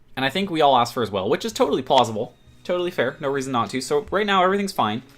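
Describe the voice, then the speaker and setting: A very fast man's voice with very wide pitch swings, music in the background. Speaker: gaming YouTuber. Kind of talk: post-commentary over gameplay. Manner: casual, rambling with fillers.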